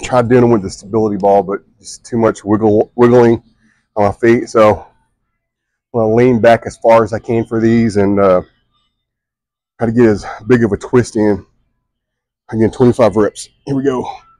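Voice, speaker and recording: A man speaks at a moderate pace in a flat monotone, his dark, mellow tone set in a dry sound with no echo against a quiet background, broken by long, frequent pauses. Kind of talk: casual vlog chat. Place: gym. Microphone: lapel.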